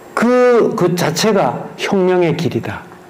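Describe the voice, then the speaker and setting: Amid noticeable background noise and audible room echo, a man talks very slowly in a high pitch with ordinary pitch variation. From Gyeongsang region, South Korea. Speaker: museum director giving a history lecture. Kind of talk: lecture.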